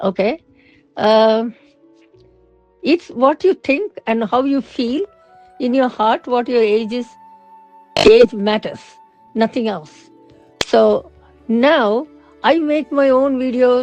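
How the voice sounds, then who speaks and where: Over music in the background, a high-pitched woman talks at a very slow pace with lively intonation and long, frequent pauses. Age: 60s. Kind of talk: casual talk to camera.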